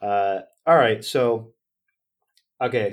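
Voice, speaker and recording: A man with an American accent and lively intonation in a very clean recording with a silent background. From Northern California. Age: 20s. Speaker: company founder. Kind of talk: interview. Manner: animated.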